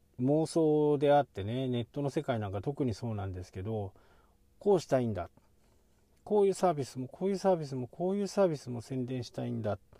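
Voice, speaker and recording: On a very clean recording with a silent background, a man speaks at a fairly quick pace with a medium pitch, a dark, mellow tone and very wide pitch swings. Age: 50s. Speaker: blogger / SEO advisor. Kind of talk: casual vlog monologue. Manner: halting, with many fillers.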